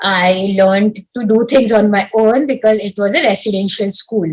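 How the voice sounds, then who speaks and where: Her voice is somewhat breathy, with a Marathi accent. The woman speaks fairly slowly at a fairly high pitch. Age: young. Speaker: civil servant. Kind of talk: interview. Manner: halting.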